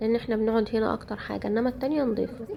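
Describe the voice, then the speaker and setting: The speaker has an Egyptian accent, with noticeable background noise in the recording. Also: woman. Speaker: home vlogger. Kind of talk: casual vlog narration.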